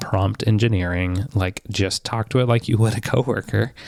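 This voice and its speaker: Dry and close with no echo, a man's fairly low voice, an ordinary speaking voice, moves at a moderate pace with fairly even intonation. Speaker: podcast co-host. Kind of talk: casual chat.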